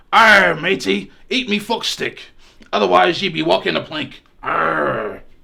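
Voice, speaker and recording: At a fairly slow pace, a man uses a put-on character voice pitched high. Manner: swaggering.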